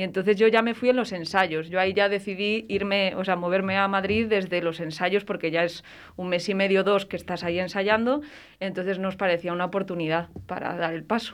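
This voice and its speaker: A woman with an ordinary speaking voice talks at a fairly quick pace. Her pitch is medium and her intonation fairly even. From Valladolid, Spain. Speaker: stage actress. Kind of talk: radio interview.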